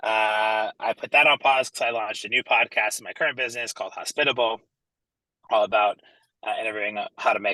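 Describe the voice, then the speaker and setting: With an American accent, the speaker talks very fast in an energetic tone, the sound dry and close with no echo. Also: man. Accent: American, noticeable. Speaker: entrepreneur and branding speaker. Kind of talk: online presentation. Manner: energetic, casual.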